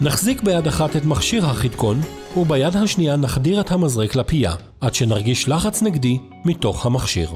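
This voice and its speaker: Music plays in the background as a man talks at a fairly slow pace. His fairly high voice moves in very wide pitch swings. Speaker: voice-over narrator. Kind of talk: instructional product video narration.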